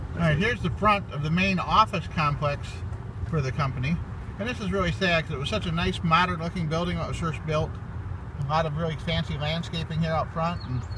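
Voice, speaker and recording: A man talks at a very fast pace over noticeable background noise, the sound dry with no echo. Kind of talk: casual tour commentary. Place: open country. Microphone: phone near.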